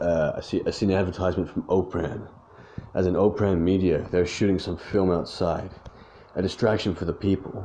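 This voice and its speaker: This man talks at a fairly quick clip in a very deep, low voice, his dark, mellow tone deadpan and weary, with monotone, flat intonation. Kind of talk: rhyming noir narration, read as a hardboiled first-person crime story. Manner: gravelly deadpan, brooding and world-weary, clipped rhythm with rhymed endings.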